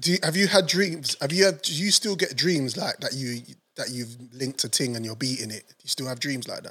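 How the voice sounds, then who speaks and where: A man speaks at a fairly quick pace with a bright, sharp tone and lively intonation, his loudness swinging widely. The recording is very clean, with a silent background. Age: 40s. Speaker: podcast co-host. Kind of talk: casual chat.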